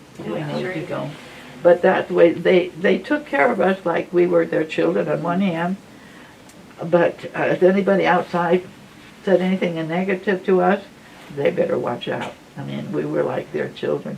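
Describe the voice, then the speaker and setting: Noticeable background noise can be heard. Through it, a woman talks at a moderate pace. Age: 80s+. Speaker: former nun. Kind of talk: life story talk to audience.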